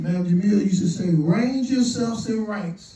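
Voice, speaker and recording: In a room with audible echo, a man with a high pitch for a man speaks at a moderate pace with ordinary pitch variation. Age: 60s. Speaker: community elder speaking at fundraiser. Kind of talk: motivational fundraising speech.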